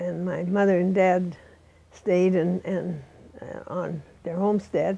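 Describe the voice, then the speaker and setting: A woman at a very slow pace, with monotone, flat intonation. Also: medium pitch for a woman. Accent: American. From eastern Montana. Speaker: oral history interviewee. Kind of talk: oral history interview. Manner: halting, with many fillers.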